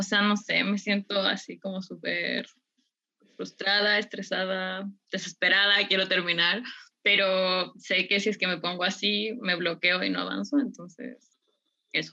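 Her voice is bright and sharp, with vocal fry and a medium pitch for a woman. She speaks at a fairly slow pace in a monotone, flat intonation. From Ecuador. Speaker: student participant. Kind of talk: casual comment.

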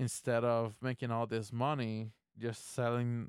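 Speaking fairly slowly in a flat monotone, a man with a medium-pitched voice is recorded dry and close, with no echo. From Puerto Rico. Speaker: podcast host. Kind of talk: casual solo monologue. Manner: halting, many fillers and laughs.

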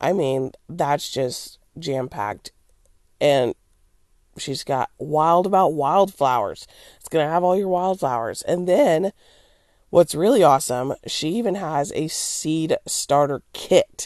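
Speaking very slowly with lively intonation and big swings in loudness, a woman with a fairly low pitch is heard in a dry, close recording with no echo. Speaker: homesteading podcast host. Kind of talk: solo podcast announcement. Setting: home recording.

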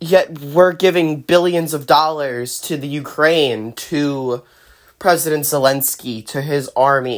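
In a very clean recording with a silent background, a woman with very deep, low pitch speaks at a very slow pace, using ordinary pitch variation and big swings in loudness. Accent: American. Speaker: political commentary podcaster. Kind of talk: solo political monologue. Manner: many fillers (um, you know).

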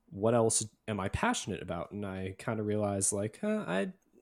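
Recorded very cleanly against a silent background, a man talks at a moderate pace with a fairly low pitch. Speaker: guest, beatboxer and streamer. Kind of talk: casual interview chat.

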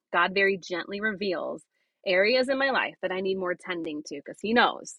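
Using an ordinary speaking voice, a woman talks at a medium pitch and moderate pace with lively intonation. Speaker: missionary. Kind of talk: interview, testimony.

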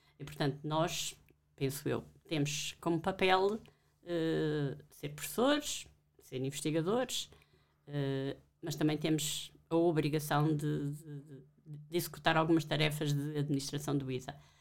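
A woman talks fairly slowly at a very deep, low pitch. Her intonation stays fairly even. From Portugal, Alentejo. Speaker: professor. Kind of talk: interview.

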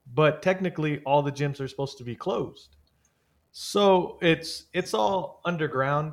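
With a plain, everyday voice and an American accent, a man speaks at a fairly slow pace and a fairly high pitch with ordinary pitch variation in a very clean recording, silent background. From East San Jose, California. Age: 30s. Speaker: amateur MMA fighter and podcaster. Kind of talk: casual interview chat.

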